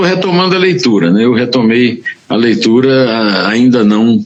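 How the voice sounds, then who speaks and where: A man's voice with very wide pitch swings over noticeable background noise. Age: 70s. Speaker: journalist and writer. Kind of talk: interview. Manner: halting.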